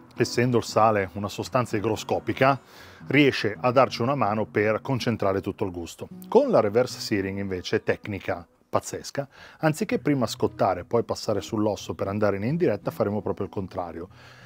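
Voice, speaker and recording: Speaking at a fairly quick pace, a man uses a fairly low pitch with ordinary pitch variation, in a dry sound with no echo and faint music in the background. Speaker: barbecue cooking vlogger. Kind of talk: tutorial. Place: garden.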